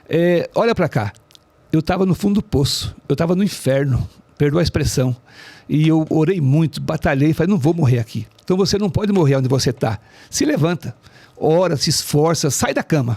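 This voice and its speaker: A man with a dark, mellow tone and fairly high pitch talks at a moderate pace with lively intonation, his loudness very even and the sound dry and close with no echo. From Brazil, São Paulo state (Ferraz de Vasconcelos). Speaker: author. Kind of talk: interview.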